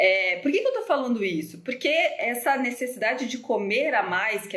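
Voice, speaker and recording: A woman talks at a moderate pace. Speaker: nutritionist. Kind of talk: live stream Q&A talk. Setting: Instagram live from home. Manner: hesitant, many fillers.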